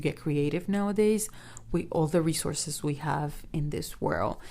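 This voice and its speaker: A woman with a non-native accent talks at a moderate pace, her pitch fairly low and her intonation fairly even. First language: not English. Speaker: podcast host. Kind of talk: solo podcast monologue.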